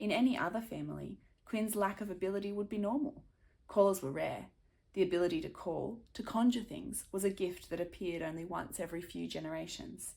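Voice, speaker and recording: A woman's dark, mellow voice at medium pitch, with vocal fry, ordinary pitch variation and a fairly quick pace. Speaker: children's author. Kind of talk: reading aloud; casual introduction.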